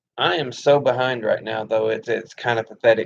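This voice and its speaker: At a moderate pace, a man of medium pitch speaks with a Southern US accent. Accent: Southern twang. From US South. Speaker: gaming streamer. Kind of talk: casual live stream chat. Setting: live stream.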